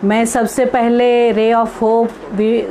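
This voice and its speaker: A woman's fairly high voice with audible room echo and noticeable background noise. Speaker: women's activist, speaker. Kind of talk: online lecture talk. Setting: live online talk. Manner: halting, many fillers.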